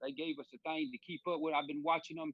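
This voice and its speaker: With a Southern US accent, a man speaks at a fairly high pitch and with fairly even intonation. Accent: Southern US (Georgia). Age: 40s. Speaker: radio show co-host. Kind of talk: casual chat.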